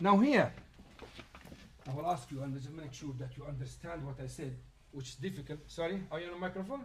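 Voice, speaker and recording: With audible room echo, a man speaks at a fairly high pitch and fairly quick pace, using ordinary pitch variation, big swings in loudness and long, frequent pauses. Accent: Arabic. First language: Arabic. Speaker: Islamic teacher. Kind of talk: lecture with Q&A. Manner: halting.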